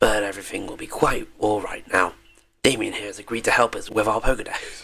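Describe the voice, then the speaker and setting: In a put-on character voice, a man talks raspily at a fairly quick pace, his medium pitch held in fairly even intonation while his loudness swings widely. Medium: game stream. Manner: genial, talkative.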